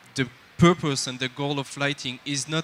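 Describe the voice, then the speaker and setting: With a French accent, a man talks in a bright, sharp tone and fairly even intonation. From France. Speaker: lighting technical director, speaker. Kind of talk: conference talk. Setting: stage with audience. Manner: halting, with frequent fillers.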